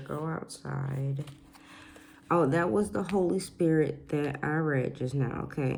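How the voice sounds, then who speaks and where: A soft-spoken woman with a very deep, low pitch talks in a room with audible echo. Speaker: oracle card reader. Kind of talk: spiritual card reading to camera. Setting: at home, quiet house. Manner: soft-spoken, talking low; repetitive, animated.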